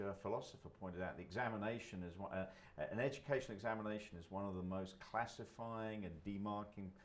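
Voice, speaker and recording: Against noticeable background noise and audible room echo, a man with an American accent talks at a fairly quick pace, his fairly low pitch showing ordinary variation. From London, England. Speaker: college president. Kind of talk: interview. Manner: halting, many fillers and repeats.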